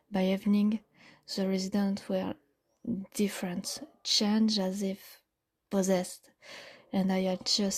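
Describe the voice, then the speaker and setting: A woman with a non-native accent, medium pitch, somewhat breathy, fairly slow pace, and monotone, flat intonation. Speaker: audio storyteller. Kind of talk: first-person horror story narration.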